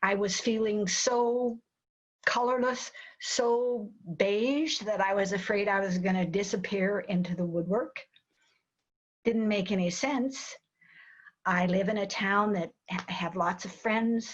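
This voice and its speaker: With an American accent, a woman speaks at a medium pitch, somewhat breathy, with ordinary pitch variation and long, frequent pauses. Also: fairly slow pace. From Wyoming, US. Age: 80s+. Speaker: cross-country cyclist and motivational speaker. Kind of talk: interview.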